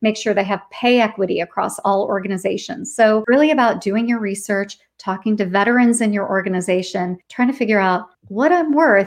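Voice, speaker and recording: At a fairly quick pace and with hardly any pauses, a woman speaks in a fairly high voice with ordinary pitch variation. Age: 40s. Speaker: podcast host and author, former HR leader. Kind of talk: interview guest on a live stream. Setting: LinkedIn Live video stream.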